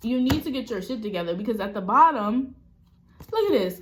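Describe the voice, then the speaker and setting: Over noticeable background noise, a woman speaks loudly at a fairly high pitch with very wide pitch swings. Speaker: spiritual reader and death doula. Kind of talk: tarot reading monologue. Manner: animated.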